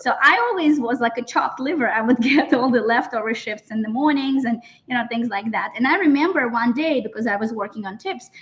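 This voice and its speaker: With a Russian accent, a woman talks fast, fairly quickly and with hardly any pauses. Her pitch is high, with ordinary variation. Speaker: interview guest. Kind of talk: personal story in interview.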